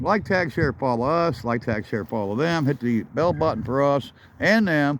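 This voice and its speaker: A man talks at a medium pitch and a moderate pace. His pitch swings very widely. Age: 60s. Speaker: car hobbyist vlogger. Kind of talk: casual walkaround vlog. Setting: outdoors. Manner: casual, rambling delivery.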